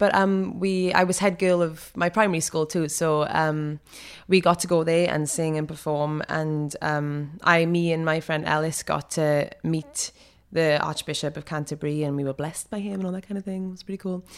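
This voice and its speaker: A woman with a South Wales accent speaks at a moderate pace in a fairly low voice, her intonation fairly even, on a very clean recording with a silent background. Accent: South Wales Welsh English. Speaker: actor. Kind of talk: interview.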